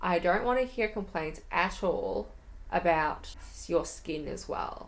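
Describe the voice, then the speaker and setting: Here a woman speaks in an Australian accent. Her pace is very slow. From Melbourne, Australia. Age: young. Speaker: YouTuber. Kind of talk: casual talk to camera.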